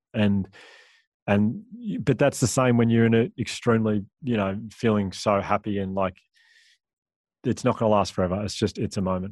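Dry and close with no echo, a man's fairly low voice moves with fairly even intonation and long, frequent pauses. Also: moderate pace. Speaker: public speaker.

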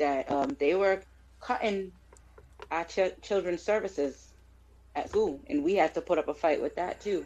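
Medium-pitched woman's voice at a moderate pace, with long, frequent pauses. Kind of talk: casual interview chat. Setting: video call.

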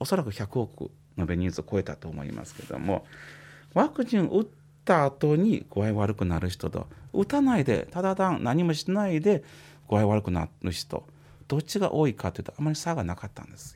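The speech moves at a moderate pace with very wide pitch swings and big swings in loudness. The recording is very clean, with a silent background. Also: man, fairly high pitch for a man. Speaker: psychiatrist. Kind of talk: explanatory talk on radio. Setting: radio studio. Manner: casual, uses many fillers.

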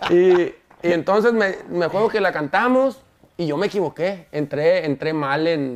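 A high man's voice with ordinary pitch variation. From Mexico. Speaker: singer. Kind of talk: interview.

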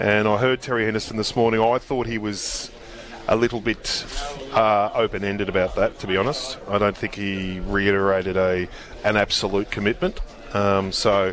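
With an Australian accent, a man speaks at a moderate pace and a fairly low pitch, his intonation fairly even, over noticeable background noise. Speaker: racing journalist panelist. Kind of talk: live radio chat.

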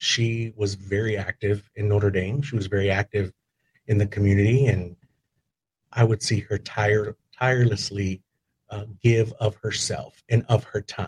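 A somewhat breathy man's voice, fairly low in pitch, with an American accent, fairly even intonation and a fairly slow pace, in a dry, close sound with no echo. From Texas Hill Country (Kerrville). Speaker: hospital public information officer. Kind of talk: casual interview.

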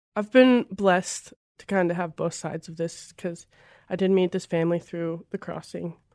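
In a very clean recording with a silent background and a dry, close sound with no echo, a woman speaks with a Midwestern American accent at a fairly quick pace. Her voice is fairly low with a dark, mellow tone and fairly even intonation. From rural northern Missouri. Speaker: college basketball player. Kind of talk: interview testimony. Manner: casual, many fillers.

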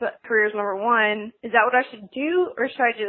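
Speaking at a moderate pace, a woman with an American accent has a fairly high pitch and ordinary pitch variation. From US South. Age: 20s. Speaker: caller. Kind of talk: voice message.

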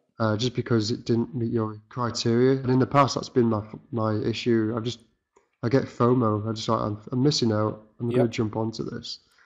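A man's medium-pitched voice at a fairly quick pace, with monotone, flat intonation. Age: 30s. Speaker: motion graphics designer and trainee trader. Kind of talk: interview. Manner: halting.

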